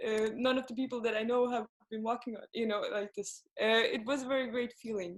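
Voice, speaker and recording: The speaker's intonation is flat and monotone, with a Swedish accent. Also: woman. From Sweden, Gothenburg. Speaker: singer-songwriter. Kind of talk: interview. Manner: halting, many fillers.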